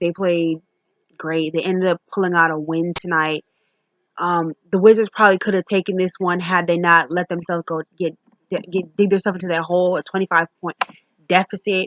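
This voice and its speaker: Her pace is fairly quick and her intonation monotone and flat. The woman has a fairly low pitch. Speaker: sports vlogger. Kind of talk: casual game review monologue. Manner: fast.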